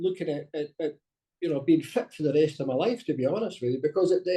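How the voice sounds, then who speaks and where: His tone dark and mellow, a man speaks with ordinary pitch variation. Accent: Scottish. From Scotland. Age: 60s. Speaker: masters track athlete. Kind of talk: interview.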